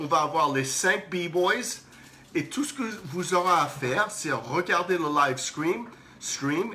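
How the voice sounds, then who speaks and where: A man's very slow delivery with lively intonation. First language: English (speaking French). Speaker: breakdance event organizer. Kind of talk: live stream announcement. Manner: halting, repeats words.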